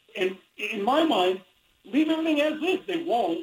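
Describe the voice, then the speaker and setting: With an American accent, a man speaks at a moderate pace, his pitch swinging very widely. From US Midwest (Indiana). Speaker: sports columnist and adjunct professor. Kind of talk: radio interview.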